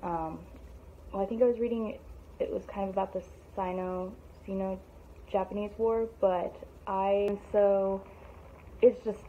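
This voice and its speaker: A woman's fairly even intonation broken by long, frequent pauses, over light background noise. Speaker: book vlogger. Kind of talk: casual book review monologue. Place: home room. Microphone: phone near.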